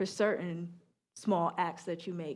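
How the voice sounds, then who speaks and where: A woman speaks with an American accent. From New York. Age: 30s. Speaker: sociologist and author. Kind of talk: book talk Q&A answer. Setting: public library event with audience. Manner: casual, conversational.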